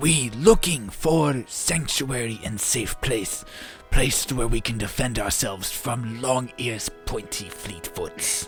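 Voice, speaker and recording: Using a put-on character voice at medium pitch, a man speaks at a fairly slow pace with clear music in the background. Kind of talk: broken grammar.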